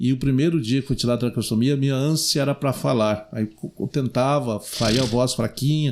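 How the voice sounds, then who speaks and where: A man speaks at a moderate pace in an ordinary speaking voice, recorded very cleanly against a silent background. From southern Brazil, Rio Grande do Sul. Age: 60s. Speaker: city councillor and radio broadcaster. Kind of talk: podcast interview.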